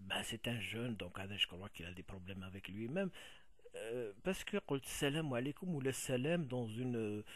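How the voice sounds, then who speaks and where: Rather slow speech from a man, mid-pitched and swinging very widely up and down in pitch. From Kabylie, Algeria. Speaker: video blogger. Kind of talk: video response monologue. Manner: halting, many fillers.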